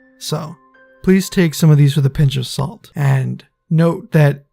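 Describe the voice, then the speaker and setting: A man speaks at a fairly high pitch and a moderate pace, his intonation monotone and flat. Music plays in the background. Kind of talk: casual talk to camera.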